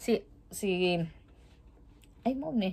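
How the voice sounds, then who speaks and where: With lively intonation, a woman is speaking. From Philippines, Cebu; Philippines. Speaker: vlogger. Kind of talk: casual vlog chat. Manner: halting, repetitive. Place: home room.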